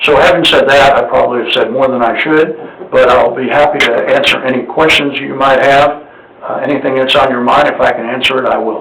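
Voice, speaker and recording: The speech moves at a fairly quick pace amid noticeable background noise and audible room echo. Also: man. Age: 70s. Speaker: appraisal district board member seeking nomination. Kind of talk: public meeting presentation. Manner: halting, frequent fillers.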